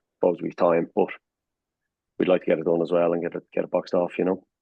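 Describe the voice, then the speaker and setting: With a Dublin accent, a man talks at a very fast pace. His voice is very deep and low. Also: long, frequent pauses. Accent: Irish (Dublin). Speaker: rock band drummer. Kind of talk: casual interview chat.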